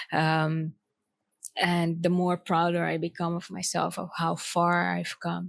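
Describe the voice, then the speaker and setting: The speaker has a non-native accent and talks at a very slow pace in a monotone, flat way, with a dry, close sound with no echo. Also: woman, fairly low pitch for a woman. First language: not English. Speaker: poet and author. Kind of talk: personal vlog. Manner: halting, many fillers.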